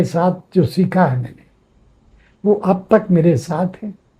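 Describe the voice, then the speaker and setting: With a dark, mellow tone, a man speaks at a high pitch with ordinary pitch variation. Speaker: sculptor and painter, educator. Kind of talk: interview.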